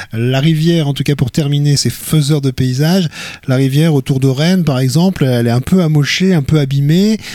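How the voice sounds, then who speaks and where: The tone is dark and mellow, with ordinary pitch variation and a moderate pace. Loudness stays very even throughout. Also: man, fairly high pitch for a man. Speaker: radio host. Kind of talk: interview about culture and media picks. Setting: studio.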